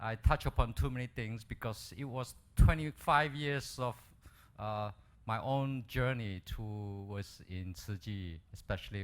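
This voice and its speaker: At a fairly slow pace, a man with a plain, everyday voice uses lively intonation on a very clean recording with a silent background. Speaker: dentist doing medical missions. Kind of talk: lecture.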